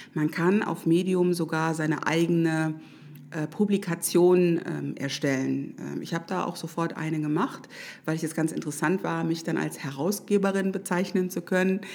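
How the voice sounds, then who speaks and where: Moderate pace from a woman with a fairly low pitch. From Düsseldorf. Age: 40s. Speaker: social media expert. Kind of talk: casual interview chat. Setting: studio. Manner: hesitant, many fillers.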